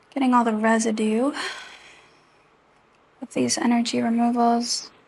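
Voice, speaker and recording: Over noticeable background noise, a woman speaks in a gentle, soothing tone at a fairly high pitch, with monotone, flat intonation. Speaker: Reiki energy healing practitioner. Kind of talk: Reiki session guided narration. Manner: gentle, slow, soothing.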